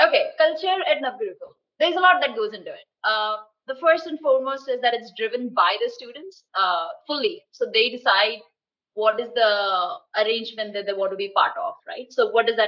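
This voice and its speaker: A woman talks at a fairly quick pace in a high voice. Her loudness swings widely, and her pitch swings very widely. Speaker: social entrepreneur. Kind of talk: interview.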